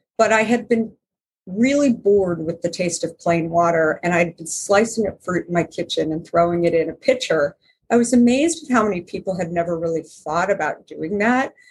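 The voice is somewhat breathy, with lively intonation. It keeps a moderate pace. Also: woman. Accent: American. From Arizona. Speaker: company founder and author. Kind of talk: interview.

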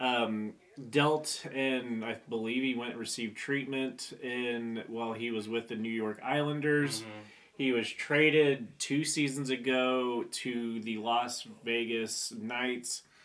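Speaking at a fairly slow pace with fairly even intonation, a man with an unremarkable speaking voice keeps a medium pitch. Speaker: podcast host. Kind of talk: casual banter. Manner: joking, profane.

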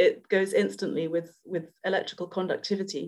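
A woman speaks with a London accent at a moderate pace. Her pitch is medium and her intonation fairly even. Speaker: EFT practitioner. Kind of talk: casual interview chat.

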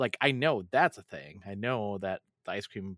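Recorded very cleanly with a silent background and a dry, close sound with no echo, a man speaks in an unremarkable speaking voice. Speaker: podcast host. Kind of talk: casual chat.

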